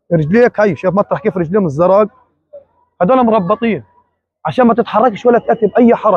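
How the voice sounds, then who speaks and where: A man with a high voice speaks at a moderate pace, the sound dry with no echo and the background quiet. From Gaza, Palestine; Palestine. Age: 30s. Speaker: released detainee. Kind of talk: testimony. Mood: distressed, indignant. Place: hall. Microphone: phone near.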